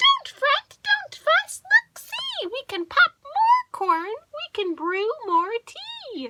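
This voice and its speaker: In a dry, close sound with no echo, a woman does a squeaky, put-on character voice at an extremely high pitch, drawn out at a very slow pace with lively intonation and big swings in loudness. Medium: read story.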